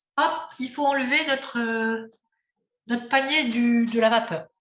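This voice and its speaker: This is a woman speaking. Her pitch is high. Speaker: cooking workshop instructor. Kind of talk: cooking class demonstration.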